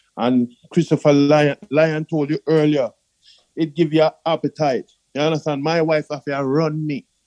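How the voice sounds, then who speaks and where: Over a dry, close sound with no echo, a man with a Jamaican accent speaks at a moderate pace with a fairly high pitch, a dark, mellow tone and monotone, flat intonation. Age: 60s. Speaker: customer giving testimony. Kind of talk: testimony.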